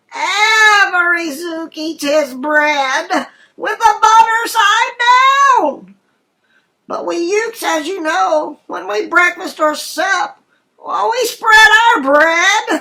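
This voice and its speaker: The voice is extremely high and squeaky. It moves at a very slow pace. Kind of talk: rhyming bedtime story. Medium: read story.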